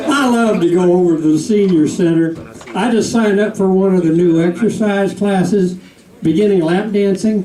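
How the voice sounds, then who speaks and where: A man with an American accent speaks in a high voice at a moderate pace, with ordinary pitch variation and very even loudness, amid crowd noise in the background and audible room echo. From US South. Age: 70s. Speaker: comedian. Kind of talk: stand-up. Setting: stage with audience.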